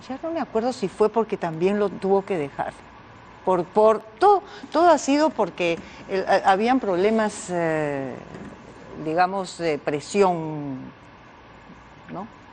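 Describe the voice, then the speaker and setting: A woman at medium pitch speaks at a very slow pace with long, frequent pauses and very wide pitch swings, over noticeable background noise. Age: 70s. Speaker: mother of a TV presenter. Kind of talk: TV interview. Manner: halting.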